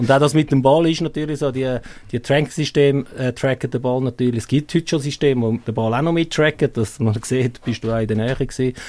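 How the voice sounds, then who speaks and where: Very fast and with fairly even intonation, a man of medium pitch speaks in a Swiss accent. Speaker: football coach. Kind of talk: casual interview.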